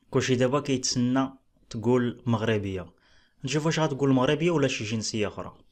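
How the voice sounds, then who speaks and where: Spoken at a moderate pace with a Moroccan accent and ordinary pitch variation, the voice comes over a quiet background. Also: man, medium pitch for a man. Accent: Moroccan Darija. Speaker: relationship commentary YouTuber. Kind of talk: casual reaction commentary.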